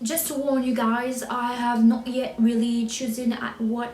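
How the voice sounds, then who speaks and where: Over noticeable background noise and audible room echo, a woman with a high pitch speaks at a fairly slow pace in a monotone, flat intonation. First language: French. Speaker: book vlogger. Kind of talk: casual vlog chat. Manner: halting, with fillers and restarts.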